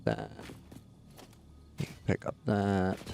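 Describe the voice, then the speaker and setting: A man with a Canadian accent talks at a very slow pace. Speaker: gaming streamer. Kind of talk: live gameplay commentary. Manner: casual, chatty.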